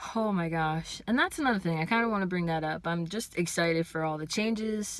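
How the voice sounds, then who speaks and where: Her voice fairly low in pitch, a woman talks at a moderate pace with fairly even intonation. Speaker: vlogger. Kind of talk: vlog.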